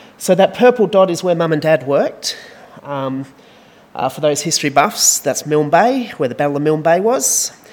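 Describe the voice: With lively intonation, a man talks at a moderate pace and a fairly high pitch.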